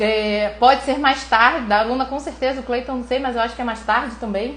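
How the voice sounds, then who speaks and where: A woman with a high-pitched voice talks at a fairly quick pace over noticeable background noise, with audible room echo. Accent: Brazilian. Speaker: neuroradiologist teaching online. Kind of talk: live stream lecture. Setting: live stream. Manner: fast; animated.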